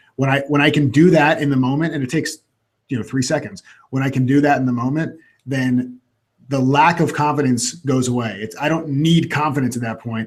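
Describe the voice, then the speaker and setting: A man's somewhat breathy voice with an American accent at a fairly quick pace. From Florida (Orlando). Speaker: coach. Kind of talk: casual chat. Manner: fast.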